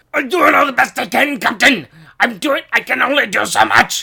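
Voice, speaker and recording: A put-on character voice, pitched high and raspy, with a Scottish accent as part of the act. The Scottish accent comes through in the raspy, high-pitched performance. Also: moderate pace. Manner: snarky, harried.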